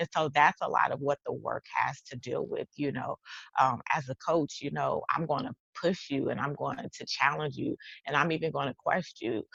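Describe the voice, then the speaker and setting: A woman with a Texas accent is recorded with a dry, close sound and no echo. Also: moderate pace. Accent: Texas twang. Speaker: life coach and author. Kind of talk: casual chat. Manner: animated.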